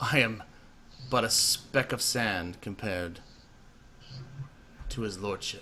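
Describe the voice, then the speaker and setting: With long, frequent pauses and clear background noise, a man uses a put-on character voice, fairly low and at a fairly slow pace. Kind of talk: acted character speech. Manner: menacing yet deferential.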